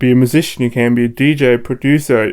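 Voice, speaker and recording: Here a man speaks at a medium pitch. His intonation is flat and monotone. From Germany, Cologne. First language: German. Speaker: DJ and producer. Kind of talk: interview. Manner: hesitant, many fillers.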